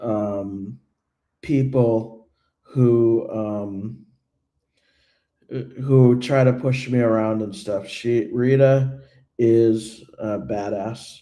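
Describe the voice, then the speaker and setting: A man speaks very slowly at medium pitch, leaving long, frequent pauses. His tone is dark and mellow, his intonation fairly even, and the room echo is audible. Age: 30s. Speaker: YouTuber who trolls political events. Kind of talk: livestream Q&A chat. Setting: livestream. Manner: halting, many fillers and repeats.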